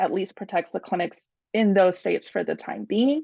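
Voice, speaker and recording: Her pitch medium and her tone dark and mellow, a woman speaks with very wide pitch swings. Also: quiet background. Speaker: attorney. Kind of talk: talk presentation with slides.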